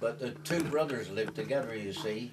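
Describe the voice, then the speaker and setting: Speaking at a moderate pace with a medium pitch, a man talks over noticeable background noise. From Wales, Rhondda Valley. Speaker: retired farm worker. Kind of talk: oral history interview answer. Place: home room. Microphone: camera far.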